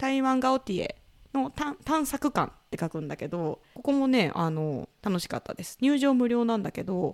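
A woman speaks in a high pitch with very wide pitch swings and big swings in loudness. The sound is dry and close, with no echo. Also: moderate pace. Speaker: podcast host. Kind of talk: casual chat.

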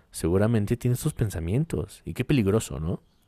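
A man with a Mexican accent speaks at a fairly quick pace in a fairly low pitch, his tone dark and mellow, with a dry, close sound and no echo. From Mexico. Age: 20s. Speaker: podcast host. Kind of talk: casual monologue.

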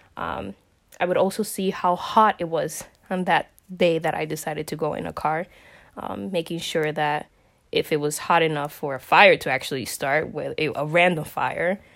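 Speaking at a moderate pace, a woman shows vocal fry and a fairly low pitch with ordinary variation, in a very clean recording against a silent background. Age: 20s. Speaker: person sharing mental health experience. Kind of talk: personal testimony. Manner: hesitant, many filler ums.

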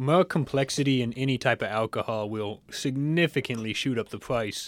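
A man with a Kentucky accent, medium in pitch with ordinary pitch variation, at a moderate pace, dry and close with no echo on a very clean recording with a silent background. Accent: Kentucky Southern American. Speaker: podcast co-host. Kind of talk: casual chat.

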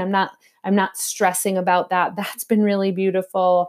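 Recorded very cleanly against a silent background, a woman talks at a medium pitch. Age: 40s. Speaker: podcast host and spiritual teacher. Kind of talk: casual spiritual teaching monologue.

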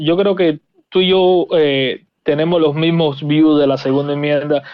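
Pitched fairly high, a man's voice shows ordinary pitch variation. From Cuba. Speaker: firearms content creator. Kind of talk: casual interview.

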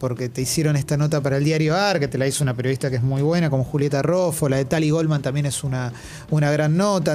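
Using an ordinary speaking voice, a man talks at a fairly quick pace with a fairly high pitch. His intonation stays fairly even. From Argentina. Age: 40s. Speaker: radio host. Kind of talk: radio interview. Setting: studio.

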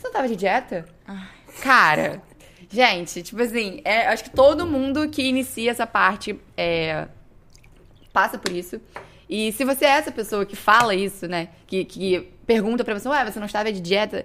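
In a bright, sharp tone, a woman speaks with long, frequent pauses. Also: fairly high pitch for a woman, lively intonation, moderate pace, big swings in loudness. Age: 20s. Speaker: medical student and fitness influencer. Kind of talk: casual chat.

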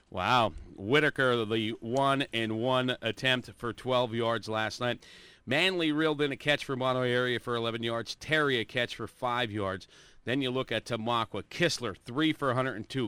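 An unremarkable speaking voice, with ordinary pitch variation, goes along at a fairly slow pace. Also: man. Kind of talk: sports radio chat reading stat lines.

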